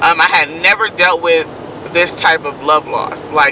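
There is noticeable background noise as a woman speaks at a moderate pace. She has a fairly low pitch and an American accent. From Kansas, then San Francisco Bay Area. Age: 20s. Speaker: vlogger. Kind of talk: casual monologue to followers.

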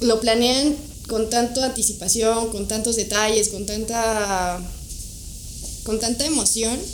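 With long, frequent pauses, a woman talks at a fairly slow pace and fairly high pitch with fairly even intonation, amid noticeable background noise and audible room echo. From Mexico, Toluca. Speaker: wedding and portrait photographer. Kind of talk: casual interview chat.

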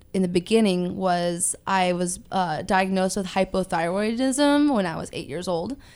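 Recorded very cleanly over a silent background, the speaker has a Californian accent and talks at a fairly slow pace. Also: woman. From Southern California, Ventura. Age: 20s. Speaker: weight loss influencer and amateur bodybuilder. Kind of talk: casual interview.

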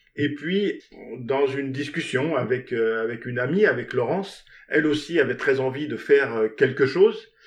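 Ordinary pitch variation at a fairly slow pace. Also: man, fairly high pitch for a man. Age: 60s. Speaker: theatre director, former tennis coach. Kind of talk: interview. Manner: halting.

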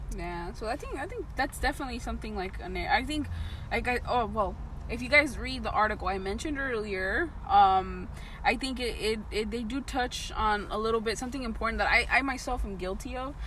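A woman with an American accent at a fairly quick pace, over noticeable background noise. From Southern California, Paramount/Compton area. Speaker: podcast co-host. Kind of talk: casual chat. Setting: outdoors.

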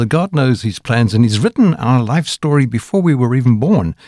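A man's plain, everyday voice at medium pitch and moderate pace, with lively intonation, on a very clean recording with a silent background. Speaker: radio host. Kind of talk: radio interview.

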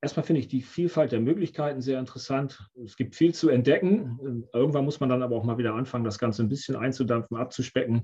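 A man's somewhat breathy, very fast delivery with hardly any pauses and ordinary pitch variation. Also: medium pitch for a man. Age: 50s. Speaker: options trader. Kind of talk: interview.

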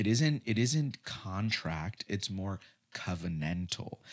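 A man with a plain, everyday voice, fairly slow in pace and lively in intonation. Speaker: podcast co-host. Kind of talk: casual discussion podcast about faith.

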